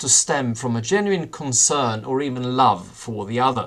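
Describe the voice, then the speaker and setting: At a moderate pace, a man talks with a Swedish accent. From Sweden. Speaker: professor. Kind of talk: lecture. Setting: video call. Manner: halting.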